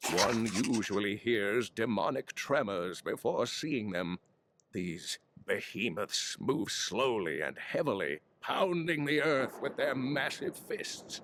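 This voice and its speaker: At a fairly slow pace, a man puts on a character voice pitched at medium. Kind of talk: scholarly lore reading. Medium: video game. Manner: measured, solemn.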